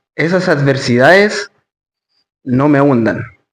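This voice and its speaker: This man talks at a very slow pace, his fairly high pitch showing ordinary variation. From Chile, Santiago. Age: 20s. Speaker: stoicism and Bible study coach. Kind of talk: interview.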